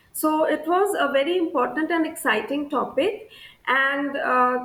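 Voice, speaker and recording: Audible room echo surrounds a woman with a high pitch who speaks at a fairly slow pace. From India, Assam. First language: Bengali. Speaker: scientist. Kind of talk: interview monologue on career. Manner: frequent hesitations (uh).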